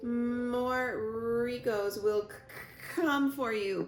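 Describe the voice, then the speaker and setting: Putting on a character voice, a woman speaks in a high pitch at a very slow pace over clear background noise. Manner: quiet.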